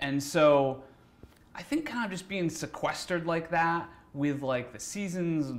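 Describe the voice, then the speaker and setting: Moderate pace and ordinary pitch variation from a man's voice. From Massachusetts (East Taunton). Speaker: film director and cinematographer. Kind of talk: casual interview chat. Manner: hesitant, many fillers and repeats.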